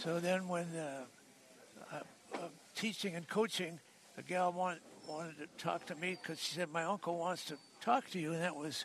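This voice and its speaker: Long, frequent pauses break up the speech of a man with an American accent, high pitch and fairly even intonation. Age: 80s+. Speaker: retired racing steward and sports scout. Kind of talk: storytelling interview.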